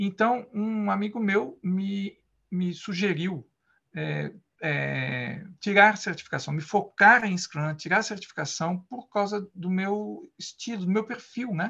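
The voice is raised and projected, with a bright, sharp tone. It moves at a very slow pace with ordinary pitch variation. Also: man, high pitch for a man. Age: 50s. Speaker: Scrum Master. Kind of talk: interview. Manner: halting.

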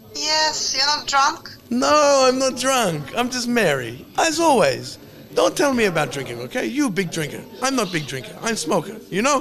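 A man's extremely high voice with very wide pitch swings at a moderate pace, over noticeable background noise. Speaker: podcast host. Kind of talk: casual chat. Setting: bar. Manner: animated.

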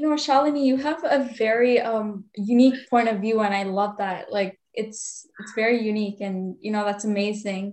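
At a moderate pace and with hardly any pauses, a woman speaks in a fairly high pitch with ordinary pitch variation. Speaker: podcast host. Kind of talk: interview. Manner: enthusiastic.

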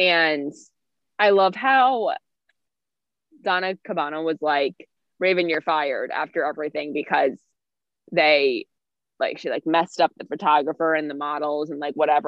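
This woman's voice is very deep and low in pitch. It varies in pitch in an ordinary way. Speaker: podcast co-host. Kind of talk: casual chat.

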